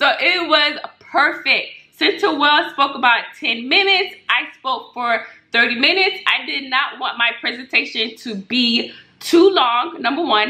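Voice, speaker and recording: A woman with a high voice speaks at a fairly slow pace, her intonation lively. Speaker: Medicare insurance broker. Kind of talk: casual tutorial vlog. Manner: loud.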